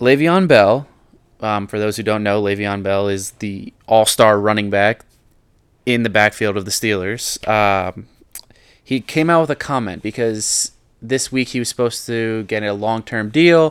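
A man speaks in an unremarkable speaking voice, fairly low in pitch with ordinary pitch variation. His pace is fairly slow, and the recording is very clean with a silent background. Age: 20s. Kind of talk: casual chat.

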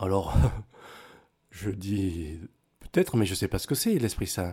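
On a very clean recording with a silent background, a man speaks at a moderate pace in a fairly low, somewhat breathy voice with a dark, mellow tone and ordinary pitch variation. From Cameroon and Togo. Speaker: former footballer, airline pilot. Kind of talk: testimony. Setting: studio.

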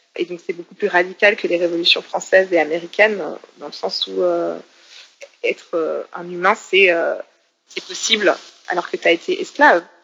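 Moderately paced, a woman's speech has big swings in loudness and long, frequent pauses. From Switzerland, Geneva. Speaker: political science lecturer and activist. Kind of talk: interview. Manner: halting.

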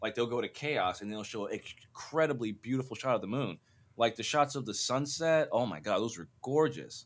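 A man with an unremarkable speaking voice, medium pitch, a fairly quick pace, an American accent, ordinary pitch variation, and a very clean recording with a silent background. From Arizona, US. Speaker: cinematographer and podcast host. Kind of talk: casual chat.

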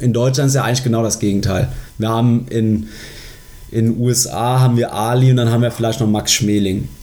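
A man talks at a fairly quick pace in a medium pitch, with monotone, flat intonation and very even loudness. Audible room echo and noticeable background noise are present. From Germany, Koblenz area. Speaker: sports podcast co-host. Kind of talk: casual chat.

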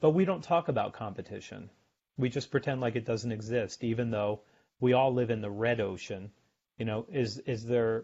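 The delivery is a normal speaking voice at an average speed. Its pitch rises and falls by a typical amount. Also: man, medium pitch for a man. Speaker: sales author and guest. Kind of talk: casual interview chat.

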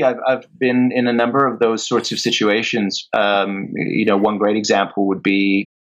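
A man with an ordinary speaking voice talks at a moderate pace and a medium pitch. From England, moved to Canada as a child. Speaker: actor and TV producer. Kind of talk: interview.

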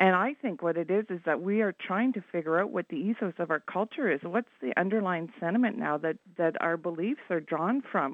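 In a normal speaking voice, a woman talks at a fairly low pitch and a fairly quick pace with lively intonation. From Canada, Ottawa. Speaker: caller. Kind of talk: call-in opinion. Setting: phone call.

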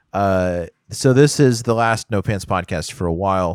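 Recorded very cleanly against a silent background with a dry, close sound and no echo, a man with an American accent uses a normal speaking voice, fairly low in pitch with ordinary pitch variation. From Houston, Texas. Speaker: podcast co-host. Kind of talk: casual chat.

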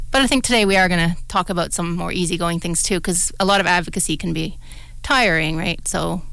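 A woman with a Canadian accent talks at a very fast pace in a fairly low pitch, her tone bright and sharp, with audible room echo around her. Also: ordinary pitch variation. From southwestern Ontario, Canada. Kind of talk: radio talk show, casual chat. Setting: radio studio.

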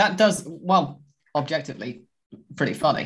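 A somewhat breathy man speaks at a fairly quick pace. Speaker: podcast host. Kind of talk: casual chat about football. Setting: video call.

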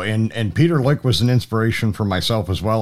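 Someone with an unremarkable speaking voice talks at a fairly quick pace. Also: man. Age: 50s. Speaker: podcast host. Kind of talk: interview conversation; podcast outro.

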